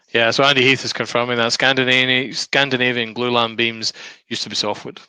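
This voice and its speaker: A man speaks very fast in a monotone, flat intonation. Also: medium pitch for a man. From Scotland.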